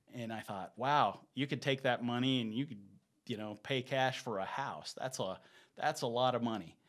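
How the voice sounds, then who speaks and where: With an American accent, a man uses an ordinary speaking voice at a medium pitch, with ordinary pitch variation and a moderate pace. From US South. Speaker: real estate broker. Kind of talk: casual chat.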